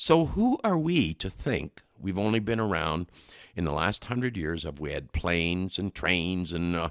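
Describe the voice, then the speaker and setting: A man talks at a moderate pace in a very deep, low pitch with lively intonation. The recording is very clean, the background silent. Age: 70s. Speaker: nutrition expert. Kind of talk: interview.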